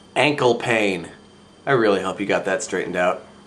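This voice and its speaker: A man talks very fast at a medium pitch. There is audible echo in the room. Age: 20s. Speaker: vlogger. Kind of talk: casual vlog monologue.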